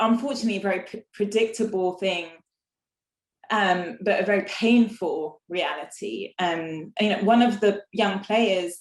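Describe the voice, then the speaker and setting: A woman speaks with an English accent at a fairly slow pace. Her pitch is medium, with ordinary variation. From England. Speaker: inequality and exclusion researcher. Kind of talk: panel talk. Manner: hesitant, many fillers.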